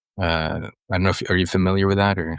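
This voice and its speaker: A man with a Swedish accent, at a moderate pace, in a dry, close sound with no echo against a quiet background. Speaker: writer and ecologist, mentor. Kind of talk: podcast interview. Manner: hesitant, with many fillers.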